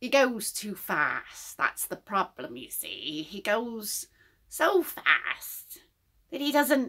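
A woman speaks very slowly. She uses a put-on character voice. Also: fairly high pitch for a woman. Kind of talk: improvised tarot reading. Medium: stage.

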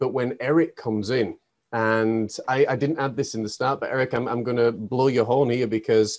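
A man's medium-pitched, unremarkable speaking voice at a moderate pace. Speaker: podcast host and life coach. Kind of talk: interview.

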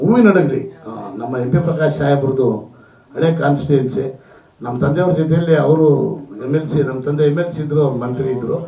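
A man's fairly high voice with ordinary pitch variation, audible room echo, and noticeable background noise. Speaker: film industry figure and politician. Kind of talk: speech at a film event.

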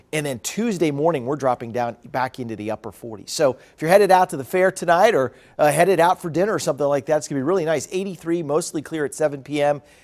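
A man rushes along at a very fast pace with hardly any pauses, his intonation lively against a quiet background. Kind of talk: weather forecast presentation. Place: studio. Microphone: lapel.

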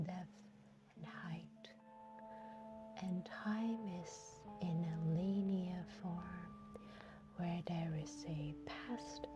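Soft-spoken and calm in tone, a woman talks very slowly in a dry sound with no echo while clear music plays in the background. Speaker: hypnotist. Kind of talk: guided hypnosis session. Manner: soft-spoken, calm. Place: car. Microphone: phone near.

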